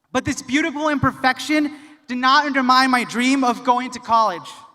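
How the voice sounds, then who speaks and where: In a raised, projected voice with a bright, sharp tone, a man speaks at an extremely high pitch and moderate pace, his intonation fairly even. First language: Spanish. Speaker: graduate student speaker. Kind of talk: commencement speech. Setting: arena with audience.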